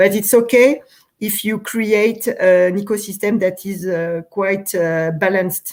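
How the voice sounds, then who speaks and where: A woman with a French accent speaks at a fairly slow pace, her medium pitch carried in a fairly even intonation. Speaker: urban cycling policy official. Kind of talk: interview. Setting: live stream. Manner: halting, many fillers.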